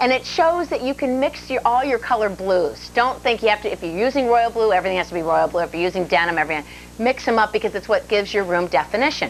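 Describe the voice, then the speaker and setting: A woman's fairly high, lively voice at a very fast pace, with music in the background. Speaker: TV home decorating show co-host. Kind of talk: casual on-air demonstration. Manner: loud.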